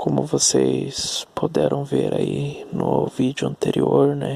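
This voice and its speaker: Noticeable background noise surrounds a man's voice, recorded with a dry, close sound and no echo. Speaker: vlogger. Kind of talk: personal storytelling monologue. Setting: at home at night. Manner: soft-spoken; halting.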